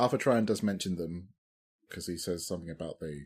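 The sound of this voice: Over a silent background in a very clean recording, a man speaks fairly quickly at a low pitch with ordinary pitch variation, a slightly mellow tone, and a slightly husky edge.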